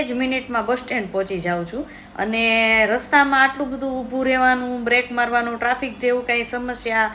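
The voice belongs to a woman and sits high in pitch. Its intonation is fairly even. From Amreli, Saurashtra, Gujarat. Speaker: vlogger. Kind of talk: personal vlog monologue.

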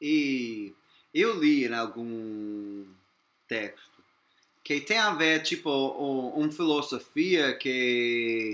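A man with an English accent speaks very slowly in a fairly high pitch, his tone bright and sharp and his intonation lively, on a very clean recording with a silent background. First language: English (speaking Portuguese). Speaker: interviewer. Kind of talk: interview. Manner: halting.

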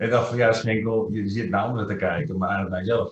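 A man's fairly quick, fairly even delivery with audible room echo. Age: 50s. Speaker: trainer. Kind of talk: interview. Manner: hesitant, many fillers. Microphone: webcam.

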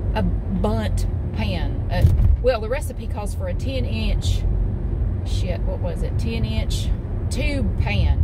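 Through loud background noise, a woman talks at a fairly slow pace, the sound dry with no echo. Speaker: vlogger. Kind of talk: casual vlog chat. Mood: chatty, mildly exasperated. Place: car. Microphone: phone near.

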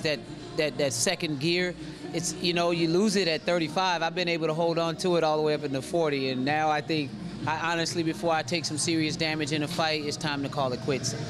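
A man at a fairly high pitch and fairly quick pace, with fairly even intonation, very even loudness, and faint music in the background. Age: 40s. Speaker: mixed martial arts fighter. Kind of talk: post-fight interview. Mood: calm, reflective, candid. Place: hall. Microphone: handheld.

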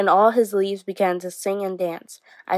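The background is free of noise. A natural reading voice is heard.

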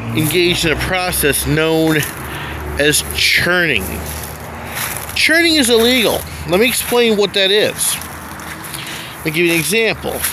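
Long, frequent pauses break up the speech, with noticeable background noise behind it. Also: moderate pace, dry sound with no echo. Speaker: urban explorer vlogger. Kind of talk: casual vlog narration. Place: street. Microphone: phone near.

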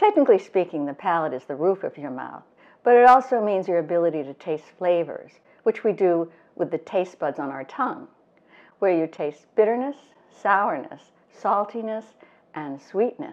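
A woman at a moderate pace, with big swings in loudness. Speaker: wine educator host. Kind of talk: tutorial. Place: kitchen.

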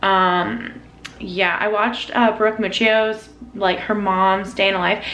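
A woman with an American accent speaks at a very slow pace with fairly even intonation and very even loudness. Audible room echo and light background noise are present. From North Carolina. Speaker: lifestyle vlogger. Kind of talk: casual vlog talk to camera. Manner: casual, with many fillers. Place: kitchen. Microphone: phone near.

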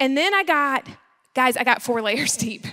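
The voice is raised and projected, with a bright, sharp tone. The background is quiet. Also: woman. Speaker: speaker. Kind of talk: sermon. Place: church. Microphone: handheld.

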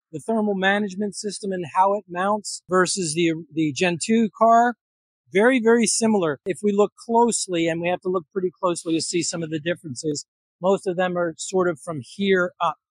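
A man's high voice at a fairly quick pace, with ordinary pitch variation, a dry sound with no echo, and a quiet background. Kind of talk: technical walkaround explanation. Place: workshop.

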